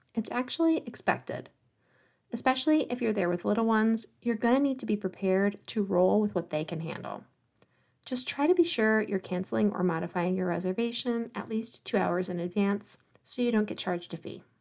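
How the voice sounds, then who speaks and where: Lively intonation and a fairly quick pace mark an ordinary speaking voice on a very clean recording with a silent background. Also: woman, fairly high pitch for a woman. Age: 40s. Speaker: travel planner podcast host. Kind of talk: solo podcast monologue.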